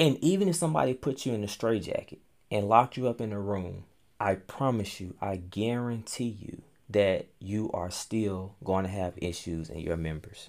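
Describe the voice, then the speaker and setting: In a normal speaking voice, a man talks at a moderate pace with a fairly low pitch and lively intonation. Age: 30s. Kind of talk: casual faith interview chat.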